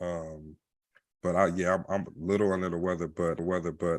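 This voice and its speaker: The man's pitch is very deep and low, and he speaks at a moderate pace. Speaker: podcast co-host. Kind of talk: casual interview chat.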